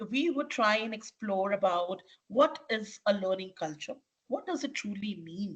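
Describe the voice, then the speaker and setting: A woman's fairly high, somewhat breathy voice with lively intonation at a fairly slow pace. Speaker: leadership coach and corporate trainer. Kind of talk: webinar presentation. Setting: online webinar.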